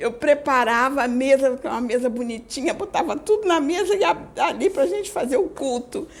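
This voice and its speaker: A high-pitched woman talks at a fairly quick pace with very wide pitch swings and hardly any pauses. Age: 60s. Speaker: religious group leader. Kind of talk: spiritual talk. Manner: halting, with repetitions.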